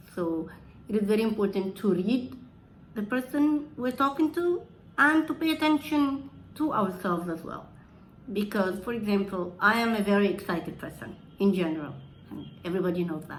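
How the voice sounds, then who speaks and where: A woman's medium-pitched voice at a moderate pace, with very wide pitch swings and big swings in loudness. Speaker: presenter giving a talk on communication. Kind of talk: presentation.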